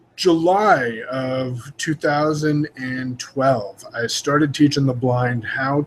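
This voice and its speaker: A man speaks with a West Coast US accent. His voice sits at a medium pitch with ordinary pitch variation. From Oregon. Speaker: online marketer. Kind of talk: casual informational talk. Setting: video call broadcast.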